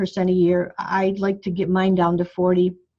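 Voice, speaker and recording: Against a quiet background, a woman speaks fairly quickly in a dark, mellow, somewhat breathy tone. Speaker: bone health doctor. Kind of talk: group coaching call. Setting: phone call. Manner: fast.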